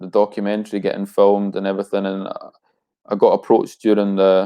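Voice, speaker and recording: A man's fairly low voice at a moderate pace, in a flat monotone. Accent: Scottish. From Scotland. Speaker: rapper. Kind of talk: casual interview.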